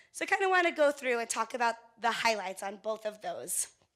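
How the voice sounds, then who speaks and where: A woman speaks at a fairly high pitch with a bright, sharp tone and lively intonation. The recording is very clean, with a silent background. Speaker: conference speaker, event media company representative. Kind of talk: workshop presentation. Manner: fast; casual, conversational.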